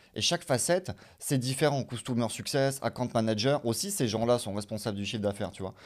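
A man speaking at a very fast pace, medium in pitch with ordinary pitch variation, on a very clean recording with a silent background. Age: 30s. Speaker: business developer. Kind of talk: casual interview on livestream.

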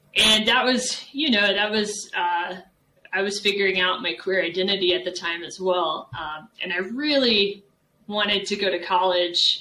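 Here is a plain, everyday voice with an American accent. The pace is fairly slow and the pitch variation ordinary. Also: woman. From Texas, San Antonio. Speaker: professor. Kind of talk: interview.

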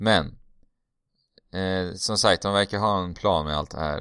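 Against a quiet background, a man speaks at a moderate pace with fairly even intonation. His pitch is very deep and low, and his tone bright and sharp. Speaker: podcast host. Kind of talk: casual chat.

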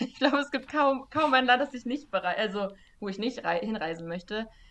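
A woman at a fairly quick pace, fairly high in pitch, a normal speaking voice. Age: 20s. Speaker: journalist and fact-checker. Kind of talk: casual interview.

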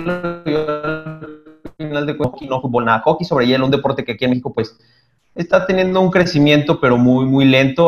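A man with a fairly high pitch and an ordinary speaking voice, at a moderate pace with ordinary pitch variation. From Mexico, Toluca. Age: 30s. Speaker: photographer and triathlete. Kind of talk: casual chat.

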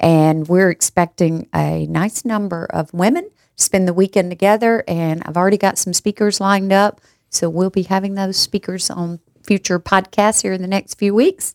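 Her sound dry and close with no echo, a woman with a normal speaking voice and medium pitch talks at a moderate pace with fairly even intonation. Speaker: podcast host. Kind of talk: casual chat.

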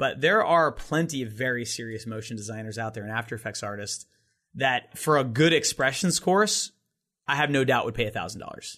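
A man's bright, sharp voice at medium pitch and a fairly quick pace, with big swings in loudness over a quiet background. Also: lively intonation. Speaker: online course founder and motion design teacher. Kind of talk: casual podcast interview. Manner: animated, practiced voiceover delivery.

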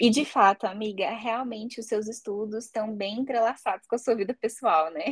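Somewhat breathy female voice, fairly high in pitch with ordinary variation, moderate pace and hardly any pauses. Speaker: psychologist, podcast host. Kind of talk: casual chat.

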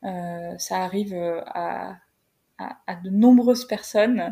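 A woman's voice with a dark, mellow tone, somewhat breathy, with ordinary pitch variation, on a very clean recording with a silent background. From northern France (Creil, Oise). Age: 30s. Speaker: career coach, company founder. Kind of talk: interview. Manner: halting, many repetitions and fillers.

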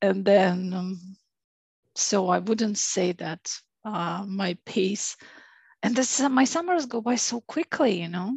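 The speech comes at a very slow pace with long, frequent pauses, somewhat breathy and with lively intonation. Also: woman, medium pitch for a woman. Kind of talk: casual chat. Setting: home office over the internet.

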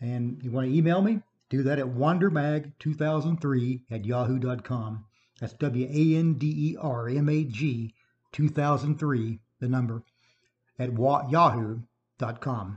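A man with an American accent, somewhat breathy, at medium pitch with ordinary pitch variation. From Illinois. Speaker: local radio host and writer. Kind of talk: casual radio show. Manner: fast.

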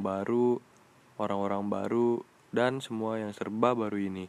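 At a moderate pace, a man with a fairly low pitch talks in a monotone, flat way. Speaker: student podcast host. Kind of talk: casual podcast interview. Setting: studio, guest seated beside him.

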